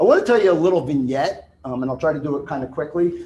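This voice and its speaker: This man speaks in a New Jersey accent at a fairly high pitch and a fairly quick pace. His voice is somewhat breathy, with a dark, mellow tone. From New Jersey, Italian-American. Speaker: retired police officer, speaker on crisis services. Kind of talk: conference talk. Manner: fast.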